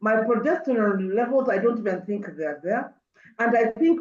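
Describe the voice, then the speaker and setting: A woman with a normal speaking voice talks at a fairly quick pace. Her pitch is fairly high, and her intonation is lively. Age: 60s. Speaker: mental wellness speaker. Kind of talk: webinar talk. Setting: video call.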